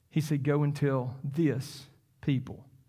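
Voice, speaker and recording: A man talks in a Southern US accent. Audible room echo surrounds his voice. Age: 50s. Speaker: pastor. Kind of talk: sermon. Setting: church. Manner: halting.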